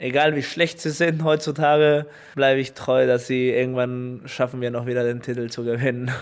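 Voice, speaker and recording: A man with a Spanish accent speaks in fairly even intonation. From Chile. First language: Spanish (speaking German). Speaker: professional volleyball player. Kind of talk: interview. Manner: halting, many fillers.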